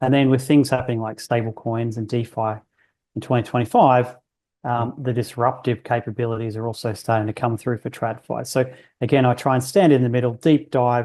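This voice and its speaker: With an Australian accent, a man speaks at a medium pitch in a dark, mellow tone. His intonation is fairly even, his pace fairly quick, and the background quiet. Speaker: bank research economist. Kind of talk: podcast interview.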